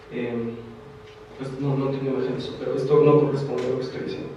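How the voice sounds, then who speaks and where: A man with a fairly high pitch talks amid noticeable background noise and audible room echo. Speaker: theatre researcher lecturer. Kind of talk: lecture. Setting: lecture hall with audience. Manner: fast.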